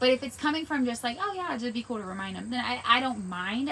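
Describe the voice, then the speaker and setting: A woman's animated speech at a very fast pace, with noticeable background noise. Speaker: business coach. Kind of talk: live online workshop.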